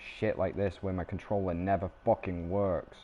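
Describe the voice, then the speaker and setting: A man with a British accent speaks in a fairly low voice. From Britain. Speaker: gaming streamer. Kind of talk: live gameplay stream chat.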